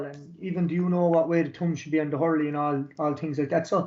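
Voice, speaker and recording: Speaking at a very fast pace, a man with a Limerick accent keeps his intonation fairly even. His pitch is fairly high. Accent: Irish, Limerick. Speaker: youth sports coach. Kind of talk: webinar presentation. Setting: online webinar.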